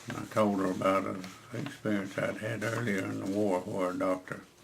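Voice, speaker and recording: A man speaks at a moderate pace with fairly low pitch and fairly even intonation. Noticeable background noise runs underneath. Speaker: war veteran. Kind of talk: interview answer. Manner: hesitant.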